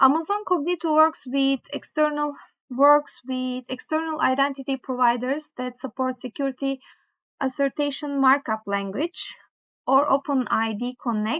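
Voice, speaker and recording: A woman with a strong non-native accent and a high pitch, ordinary pitch variation, moderate pace, quiet background. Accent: strong foreign accent (own remark). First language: not English. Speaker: tech tutorial creator. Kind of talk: tutorial, reading course material aloud; reading course text aloud with casual asides. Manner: halting, with fillers and self-corrections. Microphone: webcam.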